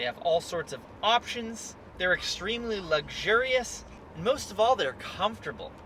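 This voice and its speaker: A man talks in a high pitch with ordinary variation, at a moderate pace. Noticeable background noise sits behind him. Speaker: car dealer video reviewer. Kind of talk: car review while driving. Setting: in a car.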